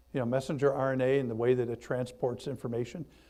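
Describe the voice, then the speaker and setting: Speaking at a medium pitch, a man has a dark, mellow tone. His intonation stays fairly even. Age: 60s. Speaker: pastor. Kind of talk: bible study talk. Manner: halting.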